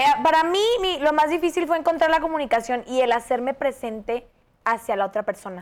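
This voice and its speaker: A high-pitched woman's voice with a Mexican accent, animated in tone, at a fairly quick pace with lively intonation. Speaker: podcast co-host, nutritionist. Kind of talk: casual chat.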